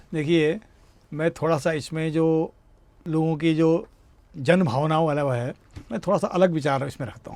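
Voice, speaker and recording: A man with a fairly high pitch speaks with long, frequent pauses and big swings in loudness. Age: 60s. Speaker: retired air force veteran, teacher and satirist. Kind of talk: interview. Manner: animated; halting.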